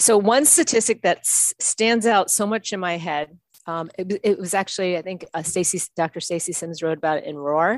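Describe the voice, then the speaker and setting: Here is a normal speaking voice from a woman at medium pitch, fairly quick and with hardly any pauses, showing ordinary pitch variation. The sound is dry and close with no echo, over a quiet background. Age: 50s. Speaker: strength coach. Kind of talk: casual chat.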